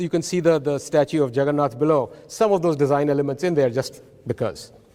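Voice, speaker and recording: A man speaks with an Odisha accent. His pace is fairly quick. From India (Odisha). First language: Oriya. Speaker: professor. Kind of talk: conference talk. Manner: animated.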